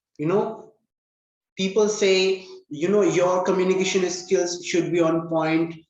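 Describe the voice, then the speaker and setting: A man with an Indian accent speaks very slowly in a high pitch with ordinary pitch variation. Audible room echo surrounds his voice. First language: Hindi. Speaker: English learning channel host. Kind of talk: casual interview.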